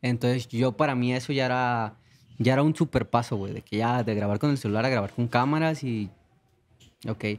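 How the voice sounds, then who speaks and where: The pace of this man's speech is fairly quick. His intonation holds fairly even. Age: 20s. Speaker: singer; guest. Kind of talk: casual chat. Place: studio. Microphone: studio mic.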